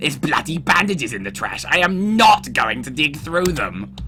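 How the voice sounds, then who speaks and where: Over clear background noise, a man in a put-on character voice speaks at a moderate pace with a fairly high pitch. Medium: game stream. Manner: gloomy, angsty.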